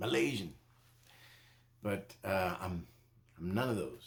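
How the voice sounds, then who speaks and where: A man with a very deep, low pitch and lively intonation. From Costa Rica. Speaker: reviewer and channel owner. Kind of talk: casual vlog monologue. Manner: halting, many fillers and repeats.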